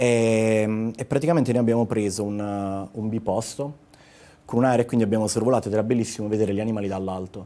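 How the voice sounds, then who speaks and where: Talking at a very fast pace, a man has a dark, mellow tone and fairly even intonation. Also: fairly low pitch for a man. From Apulia, Italy (Gioia del Colle, province of Bari); Apulia, Italy. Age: 30s. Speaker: travel blogger. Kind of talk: casual TV interview. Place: studio. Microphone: lapel.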